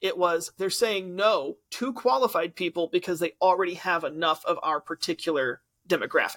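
The sound is dry and close, with no echo. A man talks at a moderate pace. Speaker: teacher. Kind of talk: casual chat.

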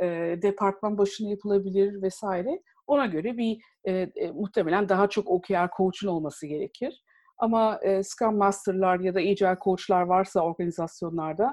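A woman talks at a moderate pace in a normal speaking voice, her pitch medium with ordinary variation. The background is quiet. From Istanbul, Turkey. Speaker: e-commerce professional, agile coach. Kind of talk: interview.

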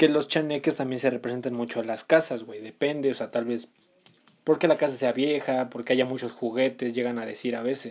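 A man with a Mexican accent speaks at a fairly quick pace in a medium pitch, his intonation fairly even. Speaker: podcast co-host. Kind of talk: casual chat.

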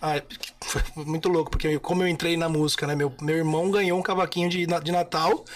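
Noticeable background noise sits under the voice. The delivery is monotone and flat, with very even loudness. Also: man, high pitch for a man. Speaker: singer and musician. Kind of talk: casual chat.

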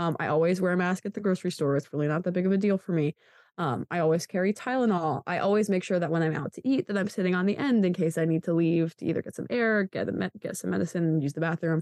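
Very fast, nearly pauseless speech with an American accent, dry and close with no echo. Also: woman, fairly low pitch for a woman, ordinary pitch variation. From Pennsylvania. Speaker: college student. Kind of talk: casual interview. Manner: loud, animated.

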